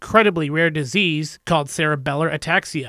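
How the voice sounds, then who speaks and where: A man's bright, sharp voice with a fairly high pitch moves at a fairly quick pace, heard dry and close with no echo in a very clean recording with a silent background. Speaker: news reporter. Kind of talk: TV news narration.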